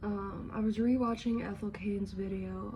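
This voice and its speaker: Soft-spoken and very slow, a woman talks in a space with audible room echo. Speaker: vlogger. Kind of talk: casual chat. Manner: low-energy, lethargic.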